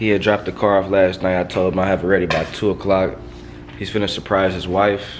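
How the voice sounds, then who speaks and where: Noticeable background noise sits behind a man with fairly low pitch. His pitch varies in an ordinary way. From US South, Nashville, Tennessee. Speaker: car wrapping entrepreneur, vlogger. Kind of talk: casual vlog. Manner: casual, slangy.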